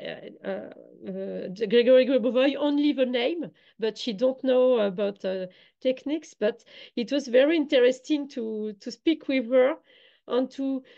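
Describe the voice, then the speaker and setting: In a French accent, a woman talks at a fairly slow pace with a high, dark and mellow voice. Her pitch variation is ordinary, and the background is quiet. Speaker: online summit organizer. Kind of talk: online interview. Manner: halting, many hesitations.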